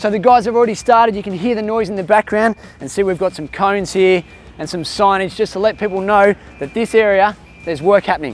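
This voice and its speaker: Over noticeable background noise, a man with an Australian accent talks at a very fast pace in an animated tone, his pitch high and its variation ordinary. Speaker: children's educational presenter. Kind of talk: kids' educational presenting.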